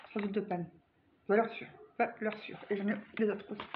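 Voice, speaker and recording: Against noticeable background noise, a woman with a fairly high voice talks at a very fast pace. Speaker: vlogger. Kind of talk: casual product review vlog. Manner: animated.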